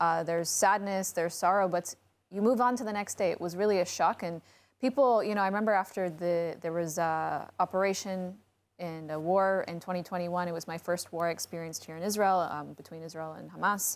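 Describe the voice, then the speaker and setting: A woman with an American accent talks at a fairly quick pace in an ordinary speaking voice, her pitch fairly low and her intonation fairly even. Her loudness swings widely, and the recording is very clean with a silent background. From United States. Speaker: podcast co-host. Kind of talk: casual panel chat.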